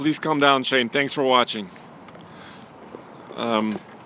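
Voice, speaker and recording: Speaking with a Russian accent, a man uses lively intonation. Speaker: automotive journalist and producer. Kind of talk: live stream casual chat.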